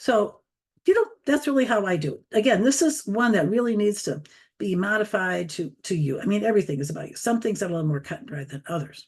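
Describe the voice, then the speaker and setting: Her voice is somewhat breathy and animated, delivered at a very fast pace. This woman's pitch swings very widely and her loudness rises and falls sharply. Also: medium pitch for a woman. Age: 70s. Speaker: social media tutor. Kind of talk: online training presentation. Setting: video call.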